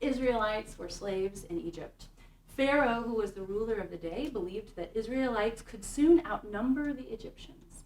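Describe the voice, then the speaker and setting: Over noticeable background noise, a woman with an American accent speaks at a fairly quick pace with lively intonation. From Kansas City, Kansas. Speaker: synagogue music director. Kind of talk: talk to an audience.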